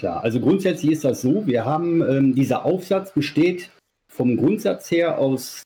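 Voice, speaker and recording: This man's fairly high voice is somewhat breathy with a dark, mellow tone, moving at a fairly slow pace with lively intonation. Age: 40s. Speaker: sex toy maker. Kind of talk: casual interview.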